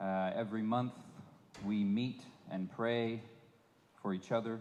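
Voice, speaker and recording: A man talks at a very slow pace and a medium pitch in a monotone, flat intonation. Audible room echo surrounds the voice. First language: English (speaking Spanish). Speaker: visiting preacher. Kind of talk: sermon. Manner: halting.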